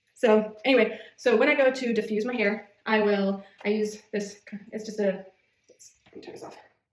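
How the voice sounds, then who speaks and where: Fairly high for a woman, her voice holds a fairly even intonation. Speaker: beauty vlogger. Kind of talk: tutorial. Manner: fast; casual, hesitant with fillers.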